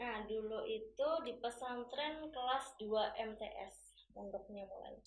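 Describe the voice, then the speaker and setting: At a very slow pace, a woman with an East Javanese accent speaks at a fairly high pitch with ordinary pitch variation, amid noticeable background noise and audible room echo. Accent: East Javanese (Surabaya-like) medok. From Tuban, East Java. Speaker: English and Mandarin teacher. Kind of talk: interview.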